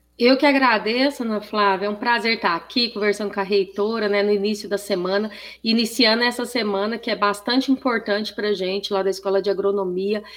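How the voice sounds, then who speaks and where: Over noticeable background noise, a woman talks at a fairly quick pace and medium pitch with fairly even intonation and hardly any pauses. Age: 40s. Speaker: professor, agricultural fair organizer. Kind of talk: radio interview.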